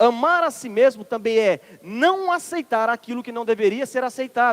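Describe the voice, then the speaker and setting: At a moderate pace, a man with a Ceará accent speaks in an extremely high voice with lively intonation, dry and close with no echo. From Ceará, northeastern Brazil. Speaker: minister, preacher. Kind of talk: sermon.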